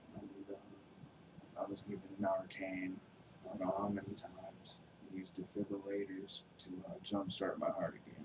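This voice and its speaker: Amid noticeable background noise, a man with a fairly low pitch speaks in a monotone, flat intonation at a moderate pace, leaving long, frequent pauses. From Wisconsin. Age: 30s. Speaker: recovering addict sharing testimony. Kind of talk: testimony. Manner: hesitant, many fillers.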